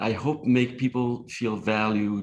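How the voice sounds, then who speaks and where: The speaker is a man with a slight non-native accent. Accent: slight foreign. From outside the US. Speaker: nonprofit leader. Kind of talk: panel discussion. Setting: symposium panel.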